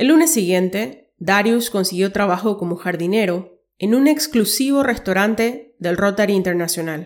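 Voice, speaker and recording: A woman's plain, everyday voice at a moderate pace, with lively intonation and hardly any pauses, in a very clean recording with a silent background. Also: medium pitch for a woman. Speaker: podcast host and story narrator. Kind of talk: scripted dramatic narration of a short story, read aloud.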